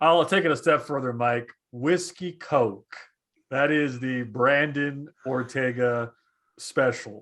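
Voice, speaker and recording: A man with an American accent speaks at a very slow pace, his medium pitch showing ordinary variation. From Texas, Rio Grande Valley. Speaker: former sports anchor. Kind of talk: casual chat. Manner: loud.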